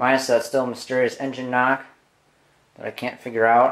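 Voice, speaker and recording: His intonation stays monotone and flat. The man keeps to a moderate pace. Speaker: hobbyist video creator showing his garage projects. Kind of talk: casual vlog update. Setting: garage, filming on camera. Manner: casual, hesitant with frequent fillers. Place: garage. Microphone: phone near.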